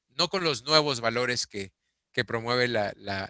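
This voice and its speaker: A man talks at a moderate pace with a medium pitch. His tone is bright and sharp, with ordinary pitch variation. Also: dry, close sound with no echo. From Peru. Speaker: interviewee, executive. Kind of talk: interview. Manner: hesitant, repeats words.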